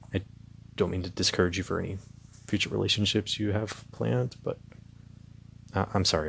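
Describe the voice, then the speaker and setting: Vocal fry runs through a man's very deep, low voice as he talks at a fairly quick pace. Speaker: ASMR roleplay voice actor. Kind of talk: ASMR roleplay, casual confiding talk to listener. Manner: casual, hesitant, sympathetic.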